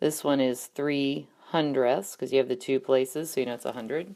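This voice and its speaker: This woman's pitch sits very deep and low. It varies in an ordinary way. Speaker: math teacher. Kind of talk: tutorial. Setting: screencast.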